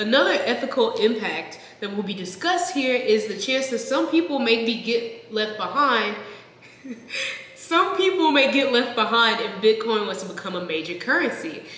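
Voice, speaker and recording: Against noticeable background noise, a woman with an American accent talks at a moderate pace and fairly high pitch. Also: lively intonation. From Texas. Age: 20s. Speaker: software engineer. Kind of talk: reading aloud an old term paper.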